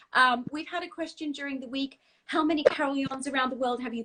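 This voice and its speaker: With an Australian accent, a woman talks at a fairly quick pace in a high pitch. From Australia, Brisbane. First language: Dutch. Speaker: singer. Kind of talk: casual chat. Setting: video call.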